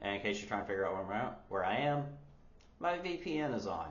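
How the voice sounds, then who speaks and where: Audible room echo surrounds a speaker with an American accent whose pitch swings very widely. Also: man. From United States. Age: 30s. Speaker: language learner vlogger. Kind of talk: casual vlog.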